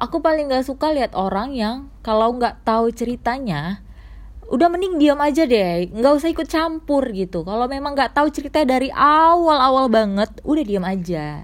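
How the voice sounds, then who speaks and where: At a high pitch, a woman speaks at a moderate pace with very wide pitch swings. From Medan, North Sumatra, Indonesia. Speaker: podcaster. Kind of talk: personal storytelling monologue. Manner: rambling, filler-heavy casual speech.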